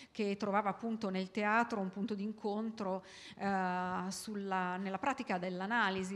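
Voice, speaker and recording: A woman is speaking. Her pace is moderate and her intonation monotone and flat. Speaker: event moderator. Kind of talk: introductory speech to audience. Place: hall. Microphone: handheld.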